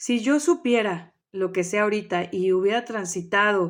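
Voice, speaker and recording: Behind a woman's voice, the background is quiet. Her intonation stays fairly even. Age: 30s. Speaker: family coach. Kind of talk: talk. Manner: hesitant with fillers.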